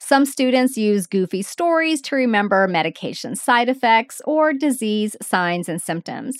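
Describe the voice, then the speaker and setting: Hardly any pauses, in a dry, close sound with no echo. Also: woman, high pitch for a woman. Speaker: podcast host, nurse educator. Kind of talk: solo educational podcast. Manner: slow, deliberate pace.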